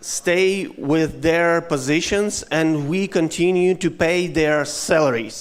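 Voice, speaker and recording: A man's high-pitched, very slow speech with ordinary pitch variation and a Ukrainian accent. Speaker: head of a company foundation. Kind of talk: conference speech. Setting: stage with audience. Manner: halting.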